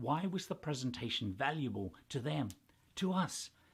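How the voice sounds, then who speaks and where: Somewhat breathy man at a moderate pace, his pitch swinging very widely. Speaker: professional master of ceremonies. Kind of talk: tutorial talk to camera.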